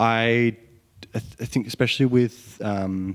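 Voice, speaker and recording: A man speaks with an Australian accent and fairly even intonation. The recording is very clean, with a silent background. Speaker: indie singer-songwriter and producer. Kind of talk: casual interview chat. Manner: halting, many ums.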